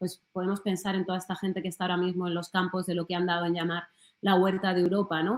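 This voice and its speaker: A woman's medium-pitched voice at a very fast pace, in monotone, flat intonation. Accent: Madrid. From Spain, Alcorcón (Madrid). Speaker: journalist. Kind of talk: talk. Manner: hesitant, with fillers.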